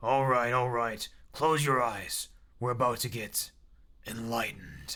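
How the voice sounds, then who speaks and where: A man's put-on character voice, gruff and raspy, stern in tone, medium in pitch, at a fairly slow pace with monotone, flat intonation. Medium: read story. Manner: gruff, stern.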